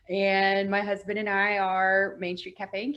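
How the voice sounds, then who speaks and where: A woman speaks with an Appalachian accent. Her pitch is medium and her pace moderate. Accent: Appalachian Southern US. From US South, northeast Tennessee. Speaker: cafe owner. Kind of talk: casual conversation. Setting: video call.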